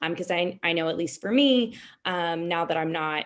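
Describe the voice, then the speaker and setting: Against a quiet background, a woman with an ordinary speaking voice talks at a fairly low pitch and a moderate pace, with ordinary pitch variation. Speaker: lawyer serving as mock trial judge. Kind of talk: spoken feedback to competitors. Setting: video call.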